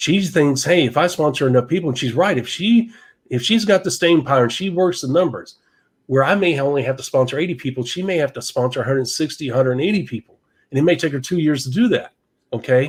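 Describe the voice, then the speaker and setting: Over a silent background in a very clean recording, a man with a fairly high, somewhat breathy voice talks at a very fast pace with lively intonation. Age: 60s. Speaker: network marketing podcast co-host. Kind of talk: podcast discussion. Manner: animated.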